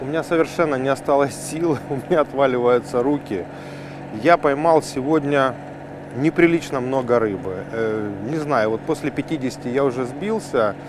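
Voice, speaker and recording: A man with a fairly high pitch and ordinary pitch variation talks at a moderate pace, noticeable background noise behind him. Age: 40s. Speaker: fishing show host. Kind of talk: outdoor fishing vlog narration. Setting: outdoors.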